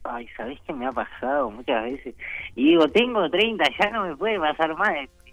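The speech moves at a moderate pace with very wide pitch swings. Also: man. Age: 30s. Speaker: stand-up comedian. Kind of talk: phone interview. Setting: phone call.

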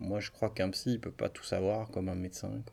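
A man's fairly low voice holds fairly even intonation. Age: 30s. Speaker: psychologist. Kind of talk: interview. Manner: hesitant, filler-heavy.

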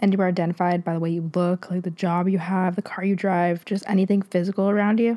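A woman talks at a moderate pace with a fairly low pitch and little pitch movement. Her tone is dark and mellow.

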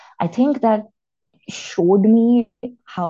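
A woman's voice with a dark, mellow tone and ordinary variation in pitch. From India. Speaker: marine biologist and sex educator. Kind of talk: casual chat.

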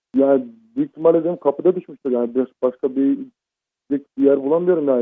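Speaking at a very fast pace, this man has a fairly high pitch. His words come out quickly in that higher register. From Izmir. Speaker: prank call victim. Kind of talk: phone call. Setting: phone call. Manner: halting. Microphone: muffled phone line.

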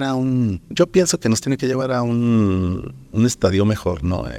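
At a fairly slow pace, a man speaks. His pitch is medium. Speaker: painter and art teacher. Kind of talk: interview. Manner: hesitant, many fillers.

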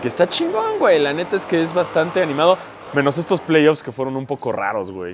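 A man's fairly high voice with a Mexican accent, lively intonation and a fairly quick pace, over noticeable background noise. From Mexico. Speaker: basketball podcaster. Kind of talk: casual chat.

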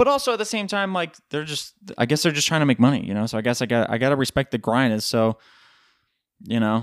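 With an American accent, a man of medium pitch talks very fast with lively intonation in a dry, close sound with no echo, on a very clean recording with a silent background. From US East Coast. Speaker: podcast host. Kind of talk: casual monologue. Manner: animated.

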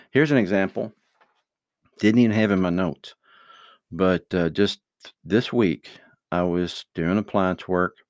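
A man's very deep, low voice with a relaxed tone and ordinary pitch variation, at a moderate pace, dry and close with no echo, on a very clean recording with a silent background. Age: 50s. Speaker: father giving life advice to his children. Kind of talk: casual monologue with religious advice. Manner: relaxed, hesitant with fillers.

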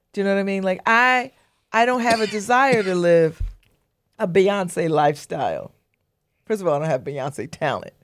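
On a very clean recording with a silent background, a woman at medium pitch speaks at a moderate pace with lively intonation and long, frequent pauses. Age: 60s. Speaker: radio host and newspaper editor. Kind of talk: casual interview.

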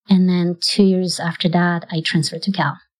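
With a Polish accent, a woman speaks at medium pitch on a very clean recording with a silent background. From Poland. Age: 40s. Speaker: Olympic marathon runner. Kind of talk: interview. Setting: office.

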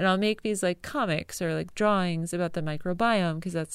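Recorded very cleanly against a silent background, a woman with a plain, everyday voice and an American accent speaks at medium pitch with ordinary pitch variation. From US Northeast, rural Connecticut. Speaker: illustrator and podcast host. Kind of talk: casual personal monologue. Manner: casual, with fillers and laughs.

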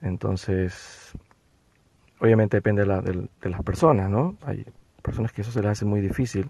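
Somewhat breathy and dark, mellow in tone, a man speaks at a moderate pace in a fairly low voice with ordinary pitch variation and long, frequent pauses. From Ecuador. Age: 40s. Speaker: therapist. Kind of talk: interview.

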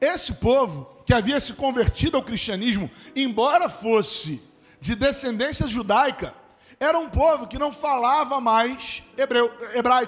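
A man with an extremely high voice speaks at a fairly slow pace in an animated tone, with ordinary pitch variation. There is noticeable background noise. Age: 30s. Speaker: pastor. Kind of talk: sermon. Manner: conversational, animated.

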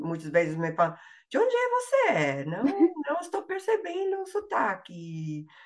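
Noticeable background noise runs behind a woman speaking at a fairly slow pace. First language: English (speaking Portuguese). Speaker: language learner, linguistics graduate. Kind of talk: interview. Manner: halting, many fillers and repetitions.

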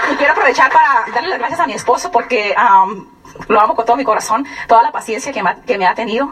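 Over noticeable background noise, a woman speaks at a very fast pace in a high pitch, with lively intonation and an animated tone. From Mexico, Sonora (San Luis Río Colorado). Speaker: business distributor giving testimony. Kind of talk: testimony. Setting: stage with audience.

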